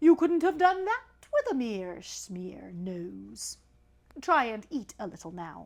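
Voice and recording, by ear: Putting on a character voice, a woman talks slowly in a fairly high pitch with vocal fry and big pitch swings.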